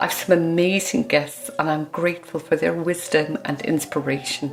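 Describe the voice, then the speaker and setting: Over music in the background, a woman with a fairly low pitch speaks with lively intonation. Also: moderate pace. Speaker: podcast host. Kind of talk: podcast intro.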